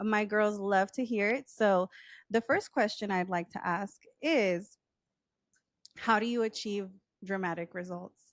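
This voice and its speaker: An American accent at a fairly slow pace, with long, frequent pauses and ordinary pitch variation on a very clean recording with a silent background. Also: woman, medium pitch for a woman, dry, close sound with no echo. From Texas. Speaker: podcast host. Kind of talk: podcast interview. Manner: upbeat, enthusiastic.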